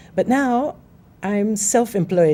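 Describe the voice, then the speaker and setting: Noticeable background noise behind a woman's lively intonation. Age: 60s. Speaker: documentary producer. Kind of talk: panel discussion.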